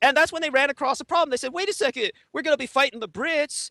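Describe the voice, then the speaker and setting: Dry and close with no echo, a man's raised, projected voice carries a bright, sharp tone. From Taiwan. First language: Chinese. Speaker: interview guest, conspiracy researcher. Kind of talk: interview monologue. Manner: hesitant with many fillers.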